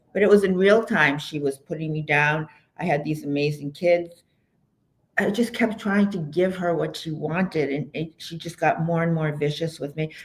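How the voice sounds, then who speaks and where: A woman speaks in a very deep, low voice with ordinary pitch variation. She is somewhat breathy and keeps a moderate pace. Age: 70s. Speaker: author and storyteller. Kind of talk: interview, personal testimony. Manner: halting, self-interrupting.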